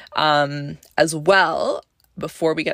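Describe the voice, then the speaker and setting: The speaker talks at a very slow pace with a Canadian accent. The sound is dry and close, with no echo. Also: woman. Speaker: podcast host. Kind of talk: casual solo podcast chat.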